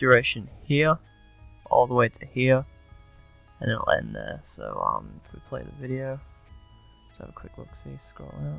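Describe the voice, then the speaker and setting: Over music in the background, a man mumbles at a fairly slow pace. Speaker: gaming video tutorial maker. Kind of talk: casual screen-recording tutorial. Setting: poor-quality headset microphone. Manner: mumbled, hesitant.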